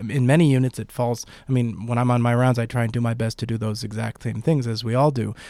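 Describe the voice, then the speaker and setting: At a very fast pace, a man with a dark, mellow tone and medium pitch speaks in a monotone, flat intonation, recorded very cleanly over a silent background. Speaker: podcast host and intensive care physician. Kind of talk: interview. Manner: halting.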